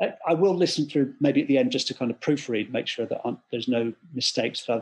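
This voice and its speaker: A man talks at a very fast pace with an English accent. His pitch is medium, with ordinary variation. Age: 50s. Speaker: composer. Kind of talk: interview.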